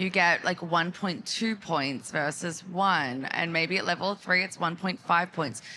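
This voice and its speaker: In a very clean recording with a silent background, a woman with an Australian accent speaks at a medium pitch in a bright, sharp tone. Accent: thick Australian. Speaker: marketing executive. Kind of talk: conference panel talk. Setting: live stage at trade event.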